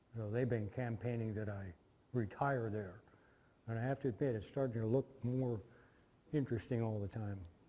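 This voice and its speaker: Speaking with an American accent, a man talks at a moderate pace and medium pitch in a dark, mellow, somewhat breathy tone, with fairly even intonation and long, frequent pauses. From US Midwest, Indiana. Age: 60s. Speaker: guest lecturer, former Peace Corps volunteer. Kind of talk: lecture. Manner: casual storytelling with filler words.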